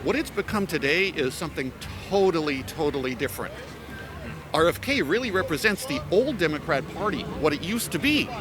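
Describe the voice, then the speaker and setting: A man with a high voice talks at a fairly quick pace with lively intonation over background music. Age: 60s. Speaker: interviewee on the street. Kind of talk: street interview.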